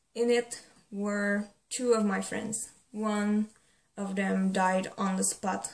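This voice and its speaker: A woman speaks with a non-native accent at medium pitch. Her voice is somewhat breathy. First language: not English. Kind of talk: casual talk to camera.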